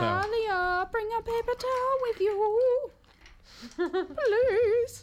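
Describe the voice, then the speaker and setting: An extremely high put-on character voice moves at a very slow pace, broken by long, frequent pauses. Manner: spooky.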